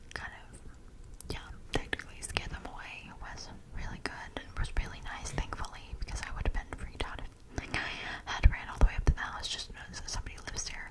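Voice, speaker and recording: A woman whispers at a fairly quick pace, with big swings in loudness. Noticeable background noise is present. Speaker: ASMR creator. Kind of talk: casual storytelling to camera. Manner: whispered.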